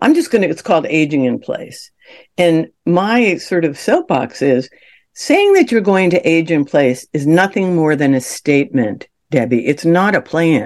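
A woman with a plain, everyday voice speaks at a fairly slow pace with a fairly low pitch and lively intonation. The background is quiet. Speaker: senior care consultant and author. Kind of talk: interview.

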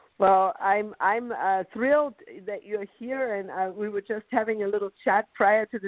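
With a German accent, the voice varies in pitch in an ordinary way. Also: woman. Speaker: podcast host. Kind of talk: interview. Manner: slow.

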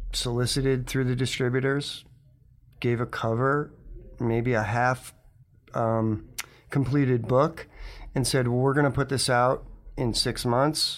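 Speaking with an American accent, a man with a medium pitch talks at a fairly slow pace in a flat monotone, leaving long, frequent pauses and keeping his loudness very even. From Connecticut. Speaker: comics publisher and animator. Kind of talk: interview.

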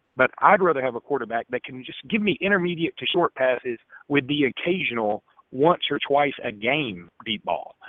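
With an Alabama accent, a man speaks with big swings in loudness. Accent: Alabama Southern US. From Alexander City, Alabama. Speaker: sports columnist and radio host. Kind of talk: call-in sports talk. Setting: phone call.

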